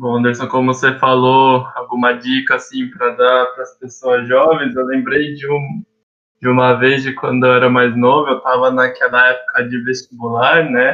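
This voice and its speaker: The man's delivery is flat and monotone. He talks at a moderate pace. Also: medium pitch for a man. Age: 20s. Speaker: youth association director. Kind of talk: casual chat.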